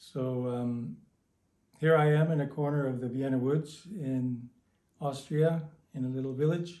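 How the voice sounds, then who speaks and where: With a dark, mellow tone and fairly high pitch, a man talks in fairly even intonation, leaving long, frequent pauses amid audible room echo. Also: fairly slow pace. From Canada. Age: 60s. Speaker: early member of a meditation community. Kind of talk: recorded greeting.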